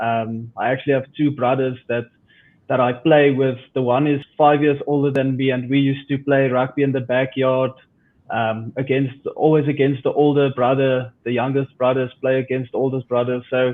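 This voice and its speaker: A man's medium-pitched voice with a South African accent, monotone, flat intonation and a moderate pace. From South Africa, Pretoria. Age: 20s. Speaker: rugby player. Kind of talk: interview.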